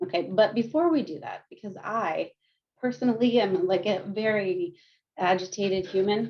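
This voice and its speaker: A woman talks at a moderate pace and medium pitch, with ordinary pitch variation and big swings in loudness. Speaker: counselor and research coordinator. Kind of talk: guided meditation and movement.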